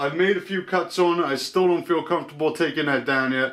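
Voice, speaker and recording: A loud man speaks with ordinary pitch variation. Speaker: DIY workshop youtuber. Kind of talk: tutorial.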